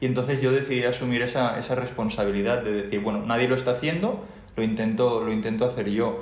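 Over noticeable background noise and audible room echo, a man at medium pitch talks at a very fast pace with fairly even intonation. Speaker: podcast co-host, engineer. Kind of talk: casual chat. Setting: home recording.

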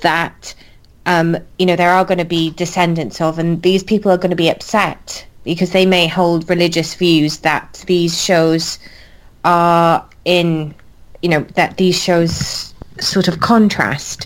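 Here is a woman with a Welsh accent. Her intonation stays monotone and flat. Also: fairly low pitch for a woman, fairly slow pace, very even loudness. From Wales. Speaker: podcast co-host. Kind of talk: casual chat.

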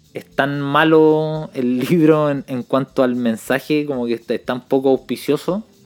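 A man with a Chilean accent speaks at a fairly slow pace in a fairly high pitch, with fairly even intonation and hardly any pauses. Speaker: podcast co-host. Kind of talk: casual chat.

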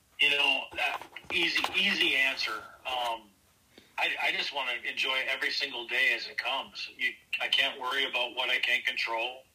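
A man with an American accent at a moderate pace, noticeable background noise behind him. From Minnesota, Northeast Minneapolis. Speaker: army veteran. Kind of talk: interview.

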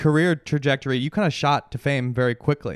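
A man with an unremarkable speaking voice and fairly high pitch talks at a moderate pace. The sound is dry and close with no echo, and the background is quiet. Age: 40s. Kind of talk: casual chat.

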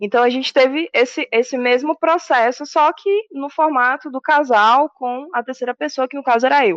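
A woman speaks with a high pitch and ordinary pitch variation at a moderate pace. The sound is dry and close, with no echo. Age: 30s. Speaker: administrator and aspiring DJ. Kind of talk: casual interview.

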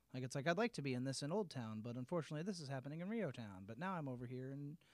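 With a Midwestern American accent, the speaker goes at a very fast pace with lively intonation, in a very clean recording with a silent background. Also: man. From Peoria, central Illinois. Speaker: arts promoter. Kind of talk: casual interview chat.

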